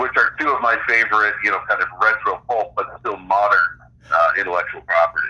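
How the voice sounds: Speaking at a fast pace, a man uses a fairly low voice with a slightly husky edge, a bright, sharp tone and fairly even intonation.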